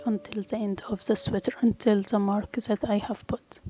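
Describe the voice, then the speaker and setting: In a non-native accent, a woman with a fairly high pitch talks with fairly even intonation, the sound dry and close with no echo. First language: not English. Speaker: crochet tutorial creator. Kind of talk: tutorial.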